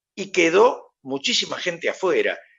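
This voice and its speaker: The background stays quiet. Over it, a man's intonation moves in a lively way. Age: 70s. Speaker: TV host. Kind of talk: video call interview. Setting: video call.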